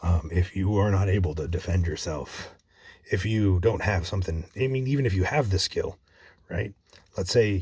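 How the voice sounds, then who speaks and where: A man talks in a dark, mellow tone. His voice is somewhat breathy. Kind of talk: casual gaming commentary.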